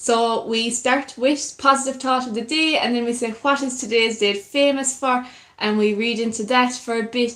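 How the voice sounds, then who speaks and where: A woman with a North Kerry accent speaks at a high pitch in a monotone, flat intonation. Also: moderate pace. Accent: North Kerry Irish. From Ireland, North Kerry. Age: 20s. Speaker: YouTuber, musician and broadcaster. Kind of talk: live stream chat with viewers. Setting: live stream.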